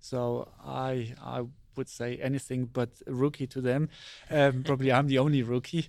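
In a German accent, a man of medium pitch speaks at a moderate pace with monotone, flat intonation. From Germany, Saarland near Ramstein. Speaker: astronaut. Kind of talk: interview. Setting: studio.

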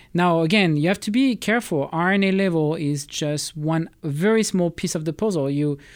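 Heard in a very clean recording with a silent background, a man with a French accent talks at a fairly high pitch with ordinary pitch variation. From France. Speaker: space biology project manager. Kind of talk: interview. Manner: halting.

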